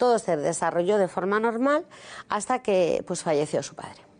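The background is quiet. A woman of medium pitch talks at a fairly quick pace. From Spain, Madrid. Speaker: author. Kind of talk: testimony.

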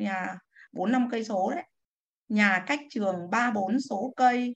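A woman's medium-pitched voice is somewhat breathy, its pitch shifting in an ordinary way. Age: 60s. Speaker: retired civil servant, class participant. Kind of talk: reading aloud own poem; casual sharing.

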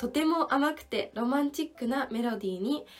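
Her pitch high and her pace moderate, a woman speaks with ordinary pitch variation. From Japan, Ibaraki (Tsukuba). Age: 20s. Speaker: classical pianist and radio host. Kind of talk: live stream talk; radio show monologue.

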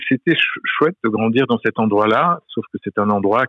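A man is talking at a moderate pace. His pitch sits fairly low. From France, Auvergne (Commentry, Bourbonnais). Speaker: playwright. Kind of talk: interview. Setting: remote interview. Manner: halting.

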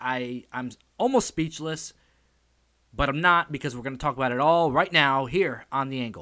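A man speaks at a moderate pace with an animated, bright, sharp tone and ordinary pitch variation, recorded very cleanly over a silent background. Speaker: wrestling podcast host. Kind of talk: casual wrestling recap podcast. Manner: animated, excitable.

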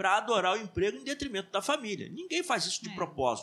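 A man's high-pitched voice, bright and sharp in tone, raised and projected. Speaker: church teacher. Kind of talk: Bible class discussion. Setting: live stream.

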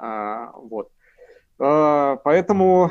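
In a fairly high voice, a man speaks with very wide pitch swings. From Urals, Russia. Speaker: political scientist. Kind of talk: interview. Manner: hesitant, many fillers.

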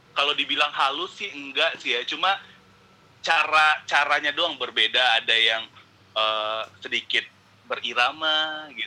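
This man's fairly high pitch shows ordinary variation as he talks at a fairly slow pace. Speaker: podcast guest. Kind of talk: casual chat. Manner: animated, casual.

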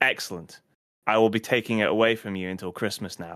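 In a British accent, a man speaks at a moderate pace and medium pitch with fairly even intonation, captured in a very clean recording with a silent background. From UK. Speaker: podcast host. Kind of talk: casual chat.

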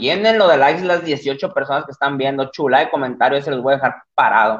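A man at a moderate pace with a fairly high pitch. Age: 20s. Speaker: livestream podcast host. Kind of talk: casual livestream chat. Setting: live stream at computer. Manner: animated.

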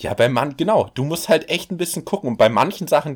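Fairly high in pitch, a man talks at a fairly quick pace with lively intonation. The recording is very clean, with a silent background. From Berlin, Germany. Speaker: podcast co-host. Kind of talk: casual chat.

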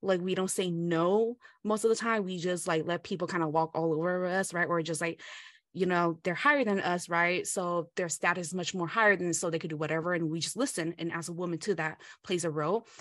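A woman speaks with a Southeast Asian accent at a fairly quick pace. Her pitch is fairly low, her intonation fairly even, and the background is quiet. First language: Hmong. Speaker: podcast co-host. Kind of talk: casual chat.

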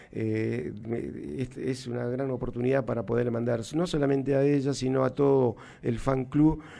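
Through noticeable background noise, a man of medium pitch speaks at a fairly slow pace with ordinary pitch variation. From Argentina, Jujuy (Humahuaca). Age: 60s. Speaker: cumbia drummer. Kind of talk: interview. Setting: studio. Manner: halting.

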